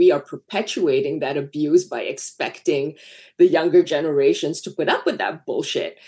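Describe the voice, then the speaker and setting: Her voice is dark and mellow in tone, fairly low for a woman, with ordinary pitch variation. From Malaysia. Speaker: screenwriter and film director. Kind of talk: casual interview chat.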